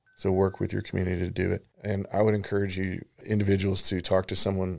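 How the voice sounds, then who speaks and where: In a very clean recording with a silent background, a man with a Texan accent speaks at a very deep, low pitch in a monotone, flat way. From Texas Hill Country, Comfort. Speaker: construction company founder. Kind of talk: radio interview.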